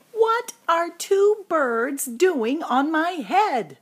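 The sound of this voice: A woman uses a put-on character voice at an extremely high pitch. She speaks very slowly, with big pitch swings.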